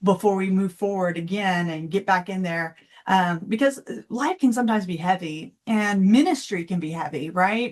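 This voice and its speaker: A woman with a Texan accent, against a quiet background. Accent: Texan American. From Texas. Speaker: financial coach. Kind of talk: interview.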